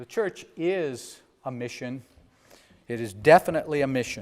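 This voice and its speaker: A man with a plain, everyday voice, a fairly high pitch, lively intonation, and a fairly slow pace. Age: 60s. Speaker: bishop. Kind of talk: sermon.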